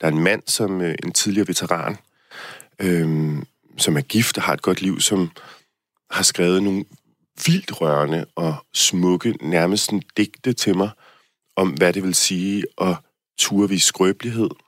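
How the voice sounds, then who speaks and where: Speaking at a fairly slow pace with long, frequent pauses, a man with a very deep, low pitch uses ordinary pitch variation, recorded with a dry, close sound and no echo. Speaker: dance competition contestant. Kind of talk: interview. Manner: halting, many fillers.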